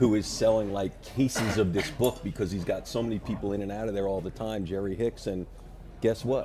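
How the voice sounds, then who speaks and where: In an unremarkable speaking voice, a man with an American accent talks at a fairly quick pace, his pitch fairly low and his intonation fairly even. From New York. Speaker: author. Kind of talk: interview on talk show.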